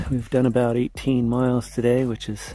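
A man speaks in a dry recording with no echo, with faint music playing in the background. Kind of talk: casual vlog chat. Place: open country. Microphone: phone near.

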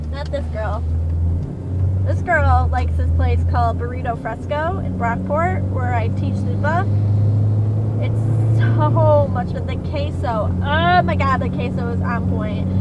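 A woman at a fairly slow pace, long and frequent pauses, dry sound without echo, loud background noise. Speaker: vlogger. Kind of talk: casual vlog chat. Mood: playful, chatty. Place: car. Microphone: phone near.

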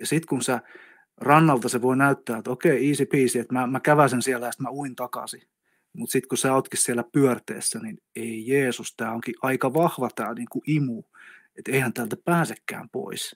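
A man at a medium pitch and moderate pace, an unremarkable speaking voice, in a very clean recording with a silent background and a dry, close sound with no echo. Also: ordinary pitch variation. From South Karelia, Finland (Lappeenranta). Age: 50s. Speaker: energy healer. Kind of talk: casual chat. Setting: studio.

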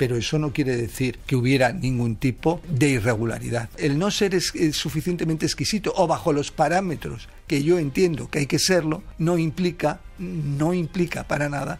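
Somewhat breathy, a man talks at a moderate pace with hardly any pauses. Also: ordinary pitch variation. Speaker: radio presenter. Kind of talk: news commentary. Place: studio.

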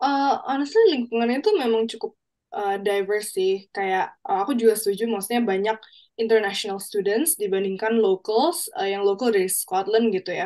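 The voice has a dark, mellow tone and ordinary pitch variation, heard over a quiet background. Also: woman, fairly high pitch for a woman, moderate pace. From Indonesia. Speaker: exchange student; guest. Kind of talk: panel talk show. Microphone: video call.

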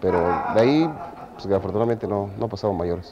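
Fairly quick speech from a man amid loud background noise. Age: 40s. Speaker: amateur actor in a Passion play. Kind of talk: interview. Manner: halting.

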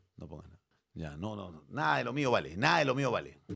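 A man talks at a very fast pace in an animated tone. His pitch swings very widely, with vocal fry. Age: 50s. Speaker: streamer. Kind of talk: casual chat. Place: studio. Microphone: studio mic.

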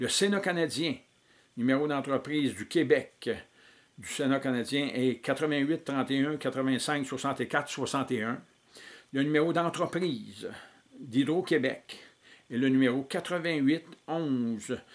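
A man speaks at a very slow pace with a fairly high pitch and ordinary pitch variation. Long, frequent pauses break up his speech. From Quebec. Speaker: political activist. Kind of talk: reading aloud. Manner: halting. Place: home room. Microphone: webcam.

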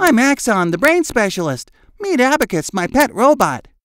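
At a moderate pace, a man performs a cartoonish character voice at an extremely high pitch with very wide pitch swings, on a very clean recording with a silent background. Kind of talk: cartoon voice acting. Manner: cocky, boastful.

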